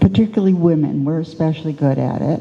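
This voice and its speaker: A woman with a fairly low pitch and ordinary pitch variation is heard over noticeable background noise. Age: 80s+. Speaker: artist. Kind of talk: panel discussion.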